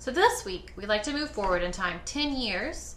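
Noticeable background noise surrounds a woman talking with an American accent. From Kansas. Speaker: museum curator. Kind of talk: casual interview chat.

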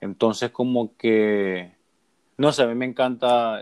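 This man has an unremarkable speaking voice of medium pitch. His intonation is fairly even. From Honduras, north coast (Puerto Cortés area). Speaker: podcast host. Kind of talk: casual chat.

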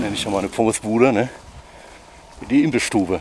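A man speaks over noticeable background noise. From Ruhr area, Oberhausen. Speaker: food vlogger. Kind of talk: casual chat. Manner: animated.

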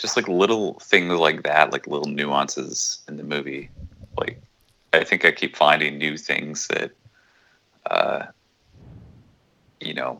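A soft-spoken man talks at a fairly slow pace with big swings in loudness. He leaves long, frequent pauses. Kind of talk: casual chat.

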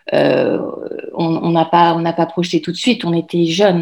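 This woman's voice sits at a fairly low pitch. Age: 40s. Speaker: mother and blogger. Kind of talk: interview. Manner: halting.

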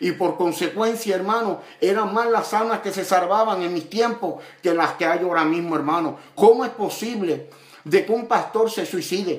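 At a moderate pace, a man speaks in a high pitch with ordinary pitch variation, and audible room echo surrounds him. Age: 50s. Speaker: evangelist preacher. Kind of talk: sermon.

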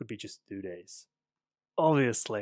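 Recorded very cleanly against a silent background, a man with a Czech accent sounds dry and close, with no echo. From Czech Republic. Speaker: podcast host, English teacher and aspiring writer. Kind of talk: casual solo podcast monologue.

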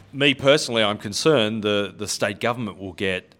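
A man with an Australian accent talks at a moderate pace in a medium-pitched voice. The recording is very clean, with a silent background. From Australia, Western Sydney. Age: 50s. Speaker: architect. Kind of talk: casual chat.

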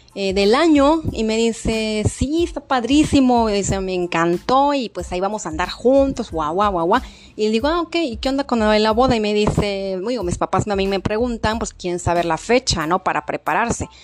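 Amid noticeable background noise, a woman with a fairly high pitch talks in an animated tone at a moderate pace, with lively intonation and hardly any pauses. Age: 40s. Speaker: podcast host. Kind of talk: casual storytelling monologue.

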